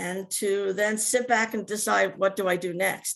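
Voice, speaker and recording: A woman speaks with a New Jersey accent. The background is quiet. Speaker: Alzheimer's advocate living with the disease. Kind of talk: testimony. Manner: halting.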